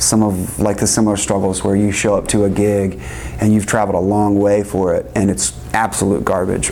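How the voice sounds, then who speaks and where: Amid noticeable background noise and audible room echo, a man talks at a moderate pace with ordinary pitch variation. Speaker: music producer and educator. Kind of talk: interview. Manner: halting, many fillers.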